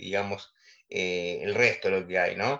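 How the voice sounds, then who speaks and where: A man is speaking. He talks with an Argentine accent. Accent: Rioplatense Argentine Spanish. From Argentina. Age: 40s. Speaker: music teacher. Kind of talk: interview.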